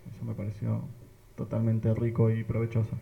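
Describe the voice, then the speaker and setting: A man's somewhat breathy, medium-pitched voice with a dark, mellow tone at a fairly quick pace. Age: 20s. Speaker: parish youth missionary. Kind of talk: casual group chat.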